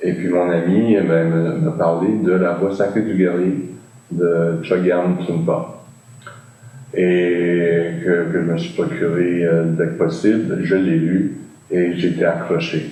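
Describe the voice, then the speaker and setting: A very slow delivery with fairly even intonation and audible room echo. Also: man, very deep, low pitch for a man. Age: 60s. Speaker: meditation practitioner, former classical guitarist. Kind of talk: interview. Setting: video call. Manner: halting, many filler sounds.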